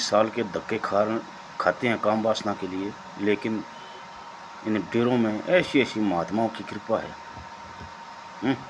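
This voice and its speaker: A man's voice over noticeable background noise. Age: 60s. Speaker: spiritual storyteller. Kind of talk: religious discourse.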